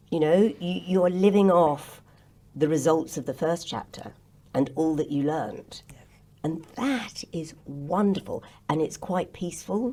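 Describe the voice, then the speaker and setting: In an English accent, a woman speaks at a fairly slow pace, her fairly low voice dark and mellow in tone, with lively intonation. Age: 70s. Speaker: actress and radio host. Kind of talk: podcast interview. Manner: animated.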